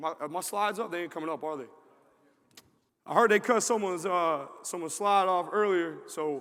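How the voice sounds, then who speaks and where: A man's bright, sharp voice with ordinary pitch variation. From New York. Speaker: football strength coach. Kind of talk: conference presentation. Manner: fast.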